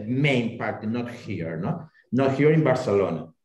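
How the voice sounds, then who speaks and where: A man speaks with a Spanish accent, and audible room echo is present. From Spain. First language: Spanish or Catalan. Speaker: local resident panelist. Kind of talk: casual chat. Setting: video call. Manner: halting.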